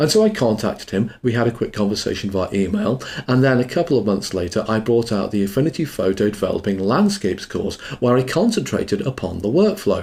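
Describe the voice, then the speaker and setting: Talking at a very fast pace, a man uses lively intonation in a somewhat breathy, medium-pitched voice. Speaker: online course instructor. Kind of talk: tutorial.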